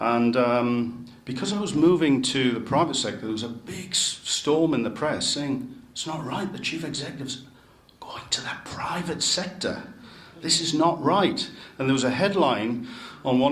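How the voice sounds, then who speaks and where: A man talks at a moderate pace with a fairly high pitch and lively intonation. Noticeable background noise and audible room echo come through. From northern England, Newcastle upon Tyne. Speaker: city chief executive. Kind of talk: speech to club members.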